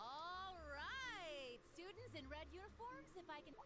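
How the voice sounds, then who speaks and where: A woman's put-on character voice at an extremely high pitch, fairly slow pace, over loud background noise. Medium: video game. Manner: breezy, teasing.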